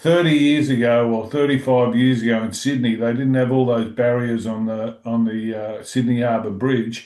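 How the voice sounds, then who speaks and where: The speech keeps a moderate pace and fairly even intonation. It is delivered in an Australian accent. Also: man. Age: 60s. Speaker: music interviewer. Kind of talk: casual interview chat.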